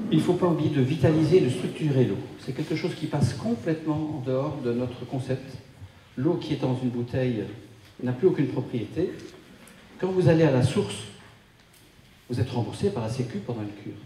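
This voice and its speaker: Amid noticeable background noise and audible room echo, a man of medium pitch talks at a fairly quick pace with ordinary pitch variation and long, frequent pauses. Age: 60s. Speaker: wellness speaker. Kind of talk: talk to a live audience. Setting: conference room with audience.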